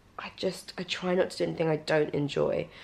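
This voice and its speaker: In a British accent, the speaker talks at a fairly slow pace with ordinary pitch variation. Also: woman. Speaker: fitness vlogger. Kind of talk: casual vlog talk to camera. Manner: soft-spoken.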